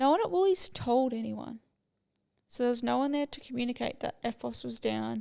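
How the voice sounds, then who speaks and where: A woman at a moderate pace with an Australian accent. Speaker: podcast host. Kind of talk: casual chat.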